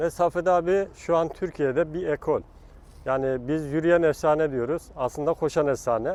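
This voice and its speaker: At a fairly slow pace, a man talks in an ordinary speaking voice with fairly even intonation. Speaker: national athletics team coach. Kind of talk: interview answer.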